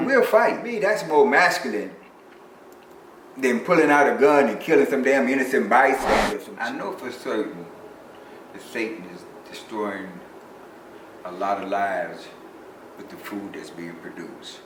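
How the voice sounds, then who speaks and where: Over noticeable background noise, a man speaks with long, frequent pauses, very wide pitch swings and big swings in loudness. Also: medium pitch for a man, moderate pace. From Chicago. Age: 60s. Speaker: bodybuilder. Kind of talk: interview answer.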